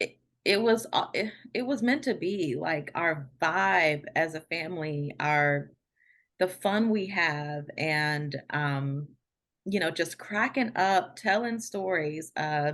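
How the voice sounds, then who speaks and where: A woman with an American accent speaks very slowly at a fairly low pitch, her intonation lively. The background is quiet. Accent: DC accent, usually held back. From Washington DC. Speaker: podcast guest. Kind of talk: casual chat. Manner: halting, many fillers and repeats.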